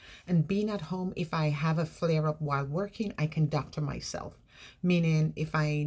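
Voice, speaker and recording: A woman's very deep, low voice, somewhat breathy, in an American accent, with ordinary pitch variation, a moderate pace and a very clean recording over a silent background. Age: 60s. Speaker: vlogger. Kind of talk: personal vlog. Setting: bedroom.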